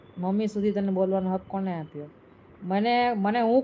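The speaker is a woman with a dark, mellow tone. Her pitch varies in an ordinary way. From Gujarat, Saurashtra (Junagadh). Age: 40s. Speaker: live streamer. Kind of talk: live stream chat reading comments. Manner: angry, scolding.

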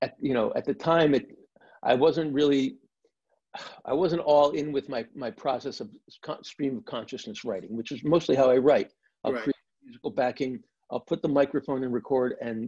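Speaking in a dark, mellow tone with ordinary pitch variation, a man leaves long, frequent pauses against light background noise. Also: moderate pace. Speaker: guest. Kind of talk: interview answer. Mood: relaxed, warm storytelling. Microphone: video call.

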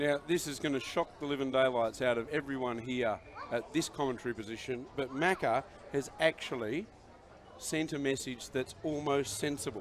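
Over light background noise, a man speaks at a moderate pace in a relaxed tone with ordinary pitch variation. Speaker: sports commentator. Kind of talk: live sports commentary. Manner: relaxed, conversational, analytical. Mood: jokey, relaxed banter. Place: stadium.

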